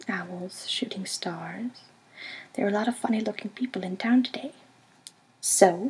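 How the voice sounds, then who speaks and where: A soft-spoken woman at a fairly slow pace, amid noticeable background noise. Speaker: ASMR artist. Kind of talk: audiobook reading.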